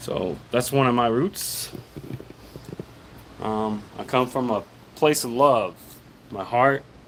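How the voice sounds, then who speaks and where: Over noticeable background noise, a man with an American accent speaks at a medium pitch and a very slow pace, with long, frequent pauses. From US South, Arkansas. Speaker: FPV drone hobbyist streamer. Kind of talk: casual livestream talk. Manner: halting.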